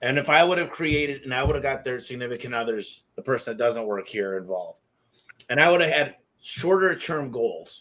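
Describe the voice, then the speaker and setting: This man has a plain, everyday voice with an American accent and a medium pitch. He talks at a fairly quick pace with lively intonation. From Michigan, US. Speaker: podcast host. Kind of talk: interview conversation.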